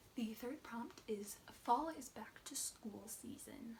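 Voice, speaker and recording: She is soft-spoken, with a fairly high pitch. This woman's pitch variation is ordinary. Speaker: booktuber. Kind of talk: casual book review vlog.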